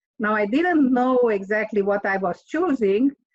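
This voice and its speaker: A woman with a Romanian accent speaks at a fairly slow pace, with a dry, close sound with no echo. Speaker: author and engineer. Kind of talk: interview. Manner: hesitant, with fillers.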